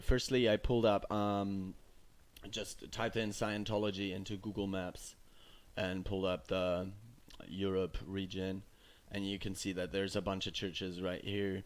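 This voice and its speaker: In a very clean recording with a silent background, a man with a German accent speaks slowly in a very deep, low pitch. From Germany. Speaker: YouTuber. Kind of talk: informal video presentation. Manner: hesitant, many fillers.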